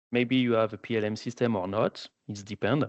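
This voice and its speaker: A man speaks with a French accent. His pitch sits in the medium range. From France. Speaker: applications engineer. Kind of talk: webinar presentation. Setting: online webinar.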